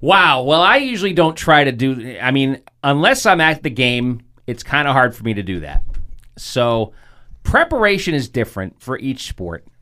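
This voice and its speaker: Using a plain, everyday voice, a man with an American accent speaks at a moderate pace in a medium pitch with lively intonation. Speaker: sports broadcaster. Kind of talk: casual interview chat. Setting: studio.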